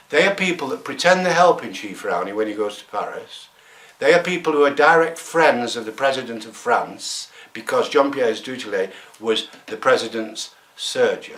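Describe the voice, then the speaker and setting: With noticeable background noise behind him, a man speaks at a fairly high pitch, his loudness swinging widely and his pitch swinging very widely. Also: moderate pace. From England. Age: 70s. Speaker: environmental activist. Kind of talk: interview. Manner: animated.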